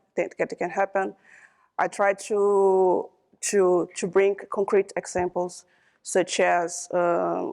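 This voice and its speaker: A woman with a Brazilian Portuguese accent speaks at a medium pitch, very slowly, in a flat monotone. The background is quiet. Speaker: computer scientist, panelist. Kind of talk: panel discussion. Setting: conference stage with audience. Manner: halting, many fillers and repetitions.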